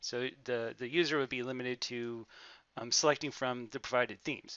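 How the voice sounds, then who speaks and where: The man's voice sits at a medium pitch, moving at a moderate pace. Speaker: student presenting a software project. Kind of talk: software demo walkthrough. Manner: hesitant, many fillers.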